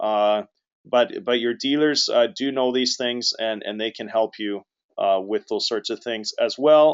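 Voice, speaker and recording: A man's medium-pitched voice shows ordinary pitch variation as he talks at a moderate pace. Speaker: webinar presenter. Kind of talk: webinar presentation. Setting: online webinar. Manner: hesitant, many filler words.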